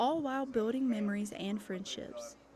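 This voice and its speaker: Using an ordinary speaking voice, a woman talks at a moderate pace in a fairly high pitch with lively intonation. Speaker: television news reporter. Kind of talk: broadcast news reporter delivery.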